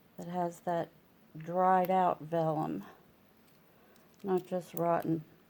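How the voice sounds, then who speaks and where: A woman with a fairly low pitch and dark, mellow tone speaks in a monotone, flat intonation at a very slow pace, with long, frequent pauses. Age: 70s. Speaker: orchid grower. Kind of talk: casual how-to talk to camera.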